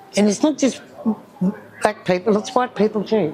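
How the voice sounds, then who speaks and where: A woman talks at a moderate pace with medium pitch and ordinary pitch variation. Noticeable background noise can be heard. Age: 70s. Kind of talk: interview. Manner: halting.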